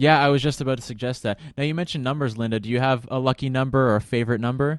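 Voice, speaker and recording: A man with a Canadian accent, medium in pitch, very fast in pace, fairly even in intonation, against a quiet background. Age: 20s. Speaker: radio host. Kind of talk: casual chat.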